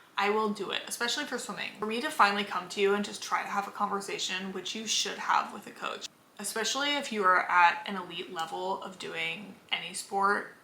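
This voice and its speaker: A woman with an American accent talks at a fairly quick pace, hardly pausing, her medium pitch showing ordinary variation and her loudness swinging widely. Noticeable background noise and audible room echo surround her voice. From Los Angeles, Southern California. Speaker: vlogger, former college swimmer. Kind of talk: casual chat. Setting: in bed at home. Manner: casual, filler-heavy.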